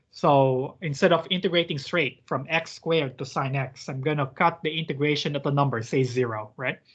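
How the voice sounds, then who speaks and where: Somewhat breathy speech comes at a moderate pace with ordinary pitch variation. The background is quiet. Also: man, fairly high pitch for a man. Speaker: teaching assistant. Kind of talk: online math lab tutorial. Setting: video call.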